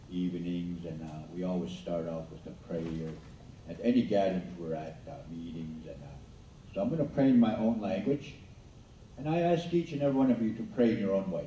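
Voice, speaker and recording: With an Albertan accent, a man speaks at a fairly quick pace in a very deep, low pitch with lively intonation, and audible room echo surrounds him. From Blackfoot Confederacy, southern Alberta. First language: Blackfoot. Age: old. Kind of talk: school assembly talk. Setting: school assembly with audience. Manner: halting.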